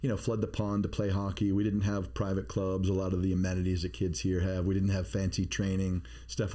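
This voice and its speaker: A dark, mellow tone at a fairly quick pace, with audible room echo. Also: man. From Maine, US (Bath). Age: 50s. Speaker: podcast co-host, security expert. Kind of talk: casual chat. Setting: studio.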